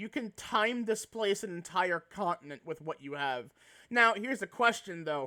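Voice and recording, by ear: Reading aloud in a natural voice, the speaker gives the lines a lively intonation.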